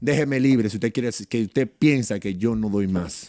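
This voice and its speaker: At a moderate pace, a man speaks over a quiet background in a dry sound with no echo. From Dominican Republic. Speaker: retired basketball player; guest. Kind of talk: interview. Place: studio. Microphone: studio mic.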